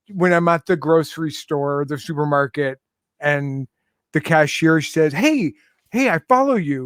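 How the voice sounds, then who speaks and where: A man with a Canadian accent and a plain, everyday voice, fairly high in pitch with ordinary pitch variation, at a moderate pace, in a dry, close sound with no echo and a very clean recording with a silent background. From Canada, Toronto. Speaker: music correspondent and radio host. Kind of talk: casual chat.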